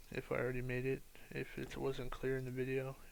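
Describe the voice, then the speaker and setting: A man speaks in a tired tone. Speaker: architecture student making software tutorials. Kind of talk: tutorial. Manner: sounds tired, low energy; hesitant, many fillers.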